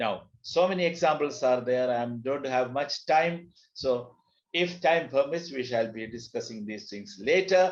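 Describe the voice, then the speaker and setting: This man has a fairly high pitch and a Keralan accent. His intonation is lively, and he speaks at a fairly slow pace. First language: Malayalam. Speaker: teacher, language trainer. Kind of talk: lecture. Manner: code-switching between English, Hindi and Telugu.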